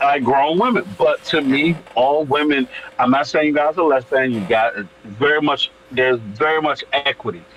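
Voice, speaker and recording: Against noticeable background noise, a man talks with very even loudness and ordinary pitch variation. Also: fairly high pitch for a man, moderate pace. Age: 30s. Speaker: wrestler and actor. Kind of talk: casual chat. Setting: live stream panel.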